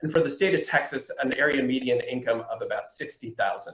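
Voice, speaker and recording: This is a man speaking. His pace is fairly quick. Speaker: housing data presenter. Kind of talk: webinar presentation. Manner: fast.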